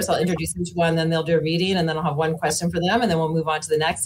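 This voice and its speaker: Over light background noise, a woman with a Canadian Prairie accent speaks at a fairly low pitch. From Saskatchewan, Canada (Moose Jaw); Saskatchewan. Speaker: panel moderator, author; panel moderator. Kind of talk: moderated panel introductions. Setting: festival stage with audience. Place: home room.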